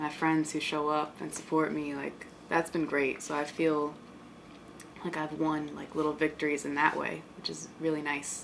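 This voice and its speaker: Over noticeable background noise, the speaker talks at a moderate pace with monotone, flat intonation. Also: woman, very deep, low pitch for a woman. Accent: American. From Bronx, New York. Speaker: artist. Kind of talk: interview answer.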